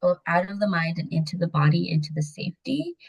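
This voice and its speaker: A woman with an American accent talks at a fairly slow pace in a somewhat breathy voice. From Mexico City, raised in the US from age 6-7. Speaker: women empowerment coach. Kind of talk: podcast interview. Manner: casual, filler-heavy speech.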